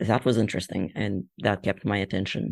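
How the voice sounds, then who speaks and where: A man with a non-native accent speaks in a fairly low pitch with monotone, flat intonation on a very clean recording with a silent background. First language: not English. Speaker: fan fiction author and artist. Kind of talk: interview.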